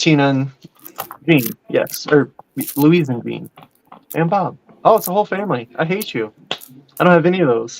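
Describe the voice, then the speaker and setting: With an American accent and lively intonation, a man speaks at a fairly high pitch, leaving long, frequent pauses. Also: moderate pace. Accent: southern accent, comes through at times. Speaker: podcast co-host. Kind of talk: casual chat.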